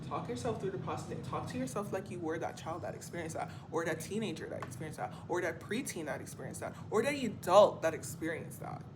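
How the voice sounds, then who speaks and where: Over music in the background and audible room echo, a woman with a fairly low pitch talks at a very fast pace with lively intonation and hardly any pauses. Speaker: spiritual coach and vlogger. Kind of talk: motivational monologue vlog.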